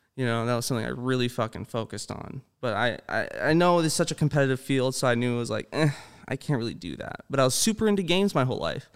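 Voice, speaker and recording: Talking at a very fast pace, a man speaks in a General American accent. The recording is very clean, with a silent background. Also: medium pitch for a man, lively intonation. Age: 20s. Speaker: streamer and filmmaker. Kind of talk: casual chat.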